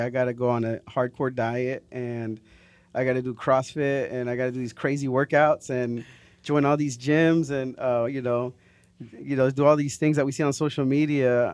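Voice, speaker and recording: Medium in pitch, a man talks at a moderate pace with fairly even intonation. The background is quiet. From Florida, raised in Fort Worth, Texas. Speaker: podcast host. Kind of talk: casual interview. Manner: hesitant, many fillers.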